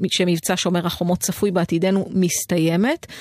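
In a plain, everyday voice, a woman speaks at a medium pitch and a moderate pace. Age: 40s. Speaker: radio host. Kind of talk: scripted narration; casual chat. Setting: studio.

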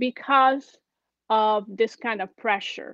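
This is a woman with a Brazilian accent. Her pitch sits high. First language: Portuguese. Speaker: churchgoer sharing faith story. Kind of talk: testimony. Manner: halting.

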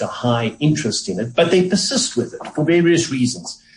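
Lively intonation marks a man speaking at a moderate pace against noticeable background noise. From South Africa. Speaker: economist. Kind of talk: radio interview.

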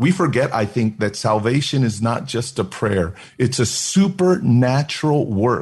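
With an American accent, a man at medium pitch speaks at a fairly slow pace with hardly any pauses, his voice somewhat breathy and his intonation lively. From Oakland, California. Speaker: senior pastor. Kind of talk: interview and sermon excerpts. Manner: animated.

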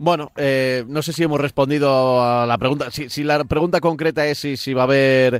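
Hardly pausing, a man talks at a moderate pace in a fairly high pitch. He has an unremarkable speaking voice with fairly even intonation. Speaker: radio host. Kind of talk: radio show chat.

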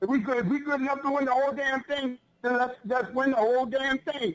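A man with an extremely high pitch and a Philadelphia accent, speaking at a moderate pace. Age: 50s. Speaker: radio caller, sports fan. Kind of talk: call-in sports talk.

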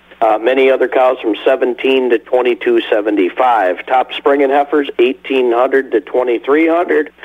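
Over noticeable background noise, a man with an American accent speaks at a very slow pace with hardly any pauses. His medium-pitched voice holds very even loudness and fairly even intonation. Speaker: livestock auction representative. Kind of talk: casual chat and market report.

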